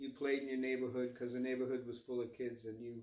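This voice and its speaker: With an American accent, a man talks at a fairly quick pace in monotone, flat intonation. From US Northeast, New Jersey suburb. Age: 60s. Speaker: interviewee, local resident. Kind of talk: oral history interview. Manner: halting, many fillers.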